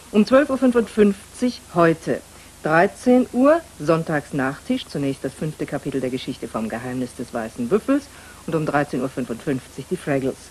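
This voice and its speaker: Very wide pitch swings at a fairly slow pace, with long, frequent pauses. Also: woman, very deep, low pitch for a woman. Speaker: tv continuity announcer. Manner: formal, measured, clear and courteous.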